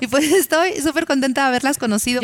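A woman with an animated tone. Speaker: podcast host. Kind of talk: casual chat.

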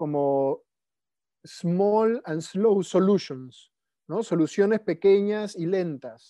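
A man speaks very slowly, his pitch varying in an ordinary way. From Peru, Lima. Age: 30s. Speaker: permaculture practitioner. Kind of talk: casual interview chat. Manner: halting, frequent repetitions.

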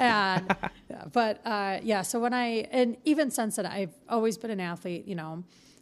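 A woman with an American accent and a normal speaking voice talks at a moderate pace, her pitch fairly high with ordinary variation. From Detroit, US Midwest. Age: 30s. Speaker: podcast co-host. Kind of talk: casual chat. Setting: studio.

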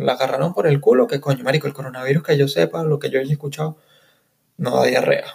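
Fairly high-pitched man with a Caracas accent at a very fast pace. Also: lively intonation. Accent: Venezuelan Spanish (Caracas). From Caracas, Venezuela. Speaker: podcast host. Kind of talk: casual solo monologue.

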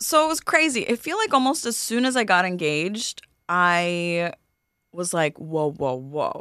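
In a very clean recording with a silent background, a woman with a New York accent speaks at medium pitch in a bright, sharp tone with very wide pitch swings. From New York (Queens, Flushing). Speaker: comedian. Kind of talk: casual chat.

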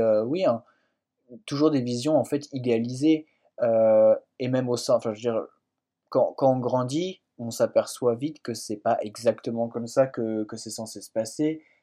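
Speaking at a very slow pace with long, frequent pauses, a man with a medium pitch and a dark, mellow tone shows big swings in loudness. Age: 20s. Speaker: fiction writer. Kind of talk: interview. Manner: halting, many hesitations.

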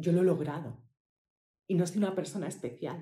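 A woman speaks with a dark, mellow tone, a fairly low pitch, ordinary pitch variation and a somewhat breathy quality. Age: 40s. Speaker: podcast host, healing coach for women. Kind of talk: personal testimony. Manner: halting, with fillers and repetitions.

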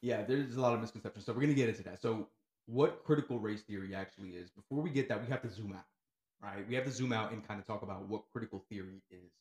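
Very fast, somewhat breathy man's voice, medium in pitch, with an American accent. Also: ordinary pitch variation, big swings in loudness. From Newark, New Jersey. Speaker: educator. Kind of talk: casual chat.

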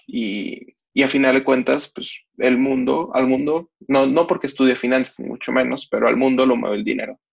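Hardly pausing, a man with a Mexican accent talks at medium pitch and a moderate pace with fairly even intonation. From Mexico. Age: 20s. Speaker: twitter commentator on freestyle rap. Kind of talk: casual interview.

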